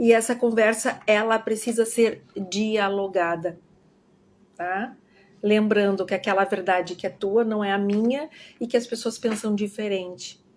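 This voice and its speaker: Fairly high female speech, fairly slow and fairly even in intonation. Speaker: educator. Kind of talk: online lecture.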